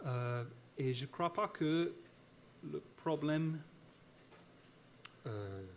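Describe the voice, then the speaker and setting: Speaking very slowly with long, frequent pauses, a man with an American accent uses a fairly high pitch. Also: lively intonation. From United States. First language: English (speaking French). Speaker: historian / academic speaker. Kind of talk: conference talk. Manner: halting, many hesitations and repetitions.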